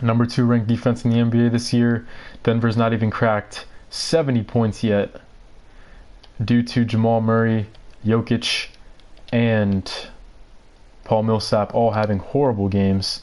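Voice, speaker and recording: A man with an American accent, medium pitch and monotone, flat intonation, at a moderate pace with long, frequent pauses, over a quiet background. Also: very even loudness. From New York. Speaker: gaming livestreamer. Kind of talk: live gameplay commentary. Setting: livestream. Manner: stuttering today.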